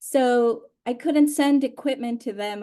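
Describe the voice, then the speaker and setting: A woman's dark, mellow tone in a Spanish accent. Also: quiet background. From Honduras and Mexico. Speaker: oral historian. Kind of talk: panel conversation. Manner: halting, many fillers.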